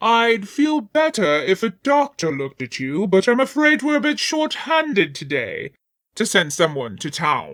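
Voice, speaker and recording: On a very clean recording with a silent background, a man in a put-on character voice speaks at a moderate pace with a high pitch and very wide pitch swings. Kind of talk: Victorian period speech. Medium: read story. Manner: formal, calm.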